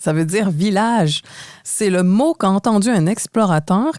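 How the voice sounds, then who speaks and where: A woman with a Quebec accent speaks at a medium pitch with ordinary pitch variation. Her tone is dark and mellow. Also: dry, close sound with no echo. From Quebec, Montreal. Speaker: podcast co-host. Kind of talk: scripted podcast conversation.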